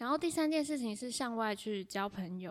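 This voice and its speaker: In a very clean recording with a silent background, a woman talks in an ordinary speaking voice, fairly high in pitch, with lively intonation at a moderate pace. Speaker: podcast host and freelance writer. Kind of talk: solo podcast monologue.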